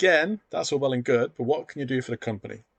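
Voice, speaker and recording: A man with a British accent talks very fast at a medium pitch, the sound dry and close with no echo over a quiet background. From UK. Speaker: sport science academic and educational YouTuber. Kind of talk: tutorial. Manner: casual, conversational.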